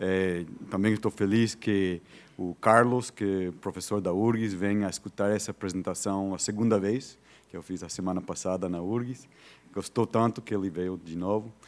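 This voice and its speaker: Fairly even intonation carries speech that holds a moderate pace. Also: man, fairly low pitch for a man. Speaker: visiting professor. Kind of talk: lecture. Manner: halting, many fillers and repetitions.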